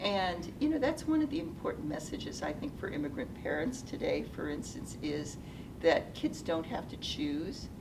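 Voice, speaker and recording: A woman with a General American accent is recorded with audible room echo and noticeable background noise. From US Pacific Northwest, Seattle. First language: Japanese. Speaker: retired nonprofit executive. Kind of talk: interview. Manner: hesitant, many fillers.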